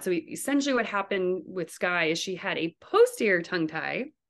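A woman at a fairly quick pace, medium in pitch with ordinary pitch variation, a plain, everyday voice against a quiet background. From Canada, New Brunswick. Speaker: physical therapist and new mother. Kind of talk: interview, personal birth story.

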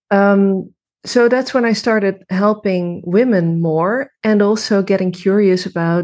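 A woman's medium-pitched voice with ordinary pitch variation, very even loudness and a fairly slow pace. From Netherlands. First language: Dutch. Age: 30s. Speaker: women's coach. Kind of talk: interview. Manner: halting.

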